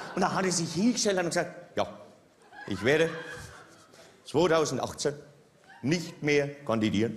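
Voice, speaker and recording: Speech at a moderate pace comes over light background noise. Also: man. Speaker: stand-up comedian. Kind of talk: political cabaret monologue. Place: stage. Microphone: headset.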